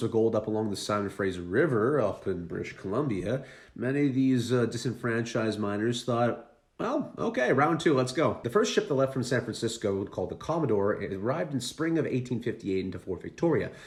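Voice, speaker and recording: Lively in intonation and with an American accent, a man of medium pitch talks at a fairly quick pace with hardly any pauses. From Canada, Vancouver Island (BC). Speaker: history YouTuber. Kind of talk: casual history talk. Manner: casual, conversational with fillers.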